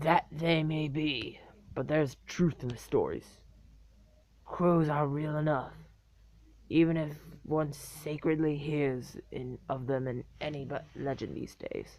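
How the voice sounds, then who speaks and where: Using a put-on character voice, a man talks at a fairly slow pace in a fairly high pitch. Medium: read story. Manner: gruff, folksy.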